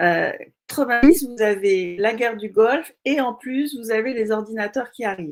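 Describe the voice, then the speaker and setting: A woman speaks in a plain, everyday voice at a moderate pace. Her pitch is fairly high, with ordinary pitch variation. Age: 60s. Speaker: entrepreneur. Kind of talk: interview.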